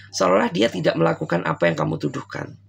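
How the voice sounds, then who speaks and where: A man's voice with vocal fry. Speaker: tarot reader. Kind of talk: tarot reading to viewers. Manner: casual, conversational.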